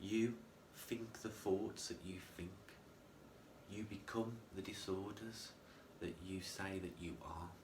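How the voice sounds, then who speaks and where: With a very deep, low pitch, a man talks at a fairly slow pace in a room with audible echo. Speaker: mental health vlogger. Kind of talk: personal vlog monologue. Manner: droning; halting, self-correcting.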